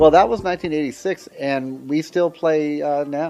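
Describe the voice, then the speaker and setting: A man speaks with music playing in the background. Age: 50s. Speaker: jazz saxophonist. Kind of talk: interview. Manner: halting.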